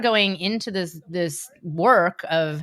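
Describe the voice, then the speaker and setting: On a very clean recording with a silent background, a woman at medium pitch uses lively intonation in an ordinary speaking voice. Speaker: spiritual business coach, podcast host. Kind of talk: podcast conversation.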